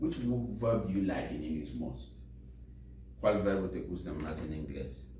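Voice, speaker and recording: At a moderate pace, a man talks with a very deep, low pitch and very wide pitch swings, with audible room echo around him. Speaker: volunteer English teacher. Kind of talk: language class. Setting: library classroom. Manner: code-switching English and Spanish.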